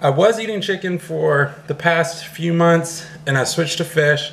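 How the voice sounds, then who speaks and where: The voice shows ordinary pitch variation over light background noise. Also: man. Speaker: fitness vlogger. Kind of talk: casual vlog chat. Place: home room. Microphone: phone near.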